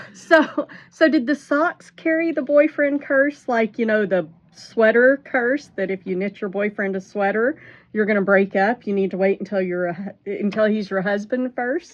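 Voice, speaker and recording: Lively intonation and a moderate pace in an unremarkable speaking voice. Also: woman, fairly high pitch for a woman. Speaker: knitting podcast host. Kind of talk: casual podcast interview, hosting. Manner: upbeat.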